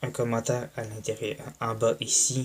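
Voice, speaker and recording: In a Quebec accent, a man talks at a very slow pace with a medium pitch. His intonation is fairly even and his voice somewhat breathy. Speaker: YouTuber. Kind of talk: vlog monologue. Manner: soft-spoken; halting.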